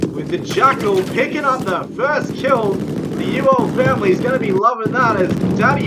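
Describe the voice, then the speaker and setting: Clearly audible background noise is present. The delivery holds a middling rate. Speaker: esports caster. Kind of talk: live commentary. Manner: animated.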